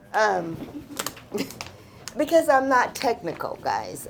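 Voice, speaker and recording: A woman speaks at a fairly slow pace with very wide pitch swings, and noticeable background noise can be heard. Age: 70s. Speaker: nurse and nursing school founder. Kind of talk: audience testimony. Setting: office event with live audience. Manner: casual, halting.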